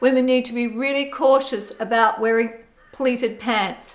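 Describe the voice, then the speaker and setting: Monotone and flat in intonation, a woman with an Australian accent talks at a moderate pace in a high pitch. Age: 60s. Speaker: fashion vlogger. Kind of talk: fashion styling tutorial.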